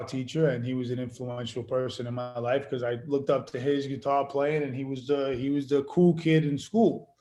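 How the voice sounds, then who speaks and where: Over music in the background, a man with a New York accent talks at a moderate pace with hardly any pauses. His voice sits at a medium pitch, and his intonation stays fairly even. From Queens, New York. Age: 40s. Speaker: actor and musician. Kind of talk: casual interview.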